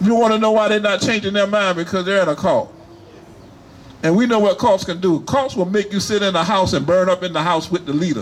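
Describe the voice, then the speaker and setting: Noticeable background noise sits behind a man with a high pitch and an animated tone. He talks at a fairly quick pace with ordinary pitch variation. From US South, Wilmington, North Carolina. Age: 70s. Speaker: rally speaker, military veteran. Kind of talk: rally speech.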